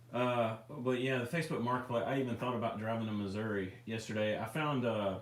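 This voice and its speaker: A man with a Memphis accent, fairly even intonation, very even loudness and hardly any pauses, amid noticeable background noise and audible room echo. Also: medium pitch for a man, fairly quick pace. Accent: Southern US (Memphis area). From US South, near Memphis, Tennessee. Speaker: RC hobby livestream host. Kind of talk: casual livestream chat. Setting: live stream.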